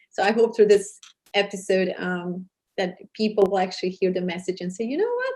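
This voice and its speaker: At a fairly quick pace, a woman talks in a somewhat breathy voice. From Serbia. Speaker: TV host and charity founder. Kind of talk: interview. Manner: hesitant, many fillers.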